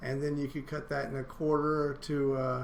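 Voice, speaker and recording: In a room with audible echo, a man with a fairly high pitch talks at a moderate pace in a monotone, flat intonation. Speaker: college instructor. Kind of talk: lecture. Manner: halting, many fillers.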